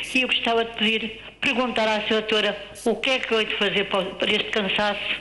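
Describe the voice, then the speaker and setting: A woman speaks at a moderate pace in a fairly high voice. Audible room echo and noticeable background noise are present. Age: 70s. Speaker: caller with COPD. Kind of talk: phone-in question.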